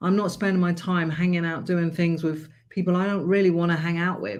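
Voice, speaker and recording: The speaker has a British accent and a moderate pace, set against a quiet background. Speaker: life coach. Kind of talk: live stream motivational talk. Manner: loud; animated.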